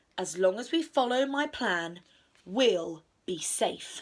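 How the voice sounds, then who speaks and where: Using a put-on character voice, a woman talks fairly slowly at a fairly high pitch. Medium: read story. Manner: calm, reassuring.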